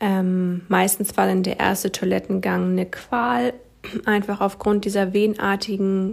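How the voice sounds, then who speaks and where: At a fairly slow pace, a woman speaks in an ordinary speaking voice at a medium pitch, in a very clean recording with a silent background. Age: 20s. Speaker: patient sharing her story. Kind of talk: testimony.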